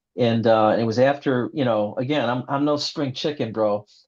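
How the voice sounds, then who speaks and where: A man of medium pitch at a moderate pace, with fairly even intonation, over a quiet background. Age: 60s. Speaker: novelist. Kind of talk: interview. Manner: halting.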